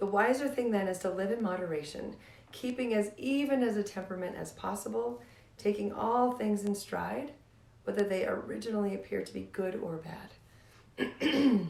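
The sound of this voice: Putting on a character voice, a woman speaks raspy and hoarse at a moderate pace, her medium pitch making very wide swings.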